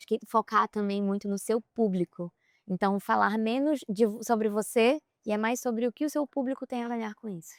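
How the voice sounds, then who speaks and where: A soft-spoken woman talks at a fairly high pitch, with big swings in loudness. The sound is dry and close, with no echo. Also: ordinary pitch variation, moderate pace. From Brazil, Pará (Belém). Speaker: content creator and influencer. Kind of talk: podcast interview. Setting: outdoors on a boat at sea.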